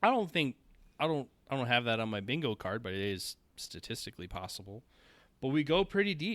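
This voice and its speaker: A man with a Minnesotan accent speaks at a medium pitch in a bright, sharp tone, recorded very cleanly against a silent background. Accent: Minnesota. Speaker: shooting sports podcast co-host. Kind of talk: casual podcast chat.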